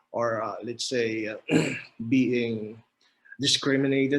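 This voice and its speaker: A man with a Filipino accent and monotone, flat intonation. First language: Filipino language. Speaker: mechanical engineer. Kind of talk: podcast interview. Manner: halting.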